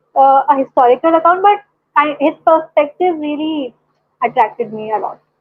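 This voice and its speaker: A woman with an Indian accent speaks at a moderate pace in a high voice, her intonation lively. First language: Hindi. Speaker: caller. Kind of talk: casual chat. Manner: halting.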